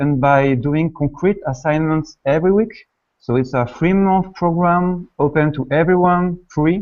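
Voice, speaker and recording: A man with a French accent, fairly high in pitch, at a fairly slow pace. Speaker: online course organizer. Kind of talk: event introduction. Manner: hesitant, many fillers.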